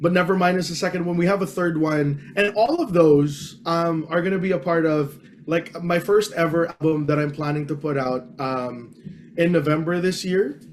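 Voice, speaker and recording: Over noticeable background noise, a man with a high-pitched voice talks at a moderate pace. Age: 30s. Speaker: singer. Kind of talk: casual chat. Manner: halting.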